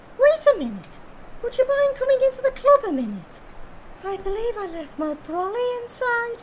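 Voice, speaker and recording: Putting on a character voice at an extremely high pitch, a woman speaks at a moderate pace with lively intonation and big swings in loudness over clear background noise. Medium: audio drama. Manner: brisk and breezy.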